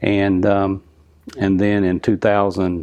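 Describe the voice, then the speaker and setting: Fairly slow speech from a man with a North Carolina accent, a very deep, low pitch and monotone, flat intonation. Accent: Southern US, North Carolina. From North Carolina, Lumberton. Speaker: drag racing engine builder. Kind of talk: interview.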